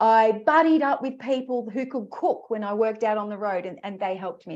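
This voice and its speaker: In an Australian accent, this voice has an animated tone and lively intonation at a moderate pace over a quiet background. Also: woman. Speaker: career coach. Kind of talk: webinar presentation. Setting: live online masterclass.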